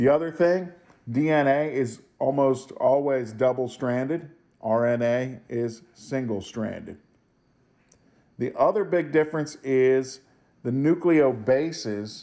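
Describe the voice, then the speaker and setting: A man with a dark, mellow tone, medium pitch and a very slow pace. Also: ordinary pitch variation. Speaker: high school biology teacher. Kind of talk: lecture. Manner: casual, with fillers.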